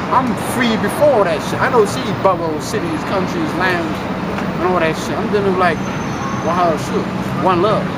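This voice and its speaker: Over loud background noise, a man talks at a moderate pace. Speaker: street commentator. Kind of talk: casual monologue. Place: street. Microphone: phone near.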